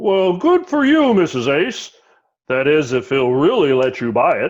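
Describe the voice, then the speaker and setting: Doing a put-on character voice, a man speaks at a moderate pace with a high pitch and very wide pitch swings. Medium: stage play.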